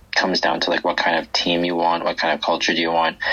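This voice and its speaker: A man speaks with a very deep, low pitch and a Canadian accent. Noticeable background noise can be heard. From Vancouver, Canada. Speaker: ultimate frisbee team captain. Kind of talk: interview.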